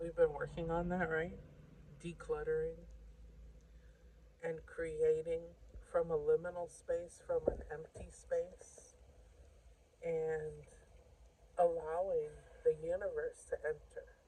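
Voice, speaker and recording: Soft-spoken, very slow speech broken by long, frequent pauses. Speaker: tarot reader. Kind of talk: tarot reading.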